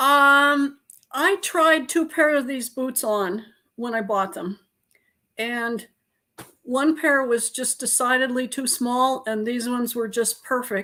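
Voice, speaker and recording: Her tone bright and sharp, a woman with an American accent and a high pitch talks at a very slow pace with ordinary pitch variation. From Montana, US. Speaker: author and illustrator. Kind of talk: casual interview chat.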